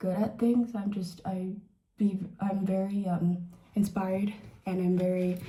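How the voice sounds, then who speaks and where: A woman speaks with a somewhat breathy, dark, mellow tone. There is audible room echo in the recording. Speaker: beauty vlogger. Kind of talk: casual chat. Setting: bathroom. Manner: halting.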